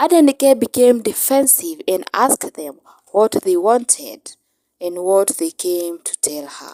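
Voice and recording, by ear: A woman speaks at a slow pace in a medium pitch, her dark, mellow tone carrying lively intonation over dry, close sound with no echo.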